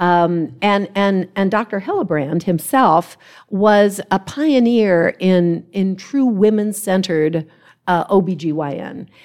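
Speaking at a very slow pace, a woman has a US Midwestern accent. Her pitch is medium with ordinary variation. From Ohio, US Midwest. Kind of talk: panel talk before a live audience. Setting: conference stage with live audience.

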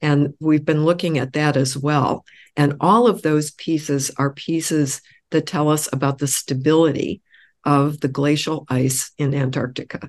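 A woman's very deep, low pitch with fairly even intonation, a fairly slow pace and a quiet background. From US Midwest, Illinois. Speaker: oceanographer, research institute director. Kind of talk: interview. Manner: frequent filler hesitations.

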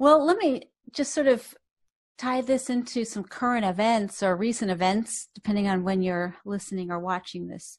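Against a quiet background, a woman speaks at a moderate pace in a plain, everyday voice. Her pitch is fairly high, with ordinary pitch variation. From US, Boston. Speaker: podcast host, psychologist. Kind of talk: interview conversation.

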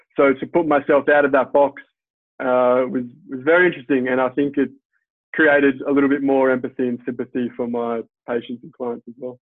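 Monotone and flat, a man with an Australian accent talks fairly quickly at medium pitch, his loudness swinging widely. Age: 30s. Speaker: physiotherapist. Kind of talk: interview.

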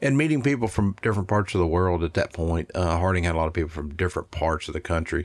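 A man with a Tennessee accent and a very deep, low pitch talks at a very fast pace with hardly any pauses. His pitch variation is ordinary, and the recording is very clean with a silent background. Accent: Southern US (Tennessee). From Middle Tennessee (Smyrna, near Nashville). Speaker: barbecue restaurant owner. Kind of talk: interview conversation.

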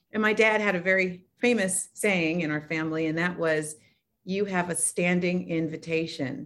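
A woman with an unremarkable speaking voice talks at a moderate pace, her pitch fairly low and varying in an ordinary way. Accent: American. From Oakland, California. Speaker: nonprofit founder and author. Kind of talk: interview.

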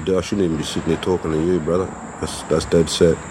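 Amid noticeable background noise, a man talks in a very deep, low pitch with monotone, flat intonation. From Netherlands. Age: 40s. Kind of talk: life story interview. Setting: recorded interview with didgeridoo in background.

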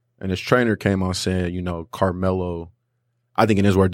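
A man talks at a fairly quick pace with a very deep, low pitch. The recording is very clean with a silent background. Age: 20s. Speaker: sports podcast host. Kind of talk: casual chat.

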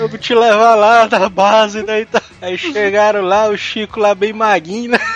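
A man at a high pitch, fairly slow but with hardly any pauses, fairly even in intonation, over noticeable background noise. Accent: strong Ceará. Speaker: podcast co-host. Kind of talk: casual chat.

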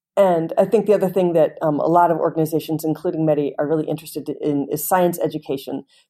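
Speaking at a very fast pace, a woman has a dark, mellow tone and ordinary pitch variation. The recording is very clean, with a silent background. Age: 50s. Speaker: linguist. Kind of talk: interview.

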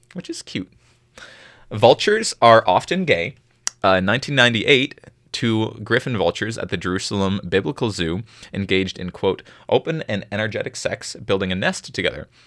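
Very clean recording, silent background, with a dry, close sound and no echo. A man with a plain, everyday voice speaks fairly quickly at a fairly low pitch, his intonation lively. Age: 20s. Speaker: campus radio podcast host. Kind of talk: casual educational chat.

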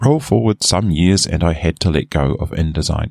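Lively intonation and vocal fry at a moderate pace, in a dry, close recording with no echo. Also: man. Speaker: software reviewer. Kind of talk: software review, scripted reading.

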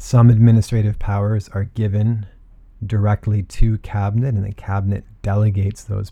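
Somewhat breathy and dark, mellow in tone, a man speaks at a moderate pace and a fairly low pitch with monotone, flat intonation. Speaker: law lecturer. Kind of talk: lecture. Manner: formal, explanatory.

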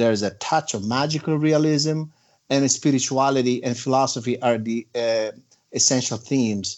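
The voice belongs to a man and sits at a medium pitch. He talks at a moderate pace. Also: ordinary pitch variation. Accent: non-native. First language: not English. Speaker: author. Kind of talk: interview. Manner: halting, frequent fillers.

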